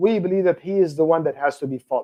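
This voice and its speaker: A man's high-pitched voice at a fairly quick pace. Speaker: religious lecturer. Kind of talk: lecture. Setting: video call from office on campus. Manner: fast.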